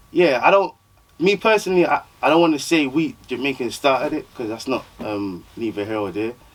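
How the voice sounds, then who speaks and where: Over noticeable background noise, a man with a fairly high voice talks at a fairly quick clip, his pitch swinging very widely. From South London, Croydon. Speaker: rapper. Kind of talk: casual interview chat. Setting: podcast studio with cameras.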